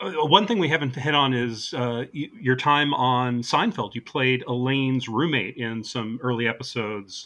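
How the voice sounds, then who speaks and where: A man with an unremarkable speaking voice talks at a moderate pace in a medium pitch. His pitch varies in an ordinary way, and he hardly pauses. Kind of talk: casual interview.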